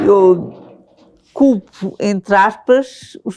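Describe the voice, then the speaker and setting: The speaker is a woman. Her pitch is fairly high. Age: 60s. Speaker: person with lived experience. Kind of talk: interview.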